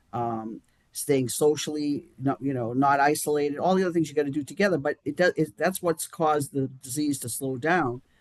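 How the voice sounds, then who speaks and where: A man speaks at a fairly quick pace with hardly any pauses, his pitch fairly high with ordinary variation. The sound is dry and close, with no echo. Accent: Boston. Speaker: chairman of a charity action group. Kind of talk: live-streamed interview. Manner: halting, many restarts.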